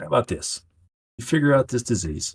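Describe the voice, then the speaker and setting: A man's raspy, put-on character voice at medium pitch and a fairly quick pace. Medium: actual play. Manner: casual, gruff.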